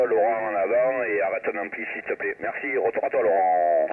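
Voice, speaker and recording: A man in a southern French accent at a moderate pace, over noticeable background noise. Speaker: amateur radio operator. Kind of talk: radio contact chat. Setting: shortwave radio contact.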